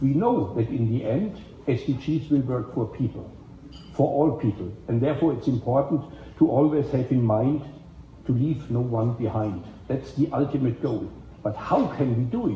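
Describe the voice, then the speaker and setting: A man with a German accent speaks at a moderate pace in a somewhat breathy, medium-pitched voice with ordinary pitch variation. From Germany. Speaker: event organizer and moderator of a policy side event. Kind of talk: opening speech at a panel event.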